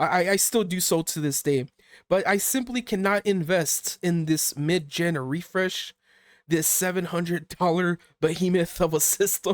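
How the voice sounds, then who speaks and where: Pitched high, a man's voice shows ordinary variation in its pitch. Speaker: gaming YouTuber. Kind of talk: casual video commentary. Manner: animated; halting, repeats words.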